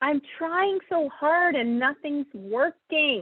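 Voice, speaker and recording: In a whiny, high-pitched, put-on character voice, someone speaks at a very slow pace. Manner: whiny, complaining.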